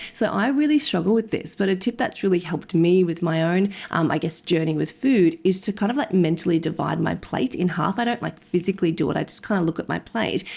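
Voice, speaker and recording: A woman with an Australian accent talks at a very fast pace with hardly any pauses. Her voice is fairly low-pitched, with lively intonation. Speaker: nutrition podcast co-host, dietitian. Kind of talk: casual podcast chat. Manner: fast-talking.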